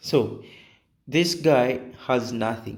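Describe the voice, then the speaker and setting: A man's medium-pitched voice with vocal fry, ordinary pitch variation and audible room echo. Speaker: game tutorial creator. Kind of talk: tutorial. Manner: hesitant, many fillers.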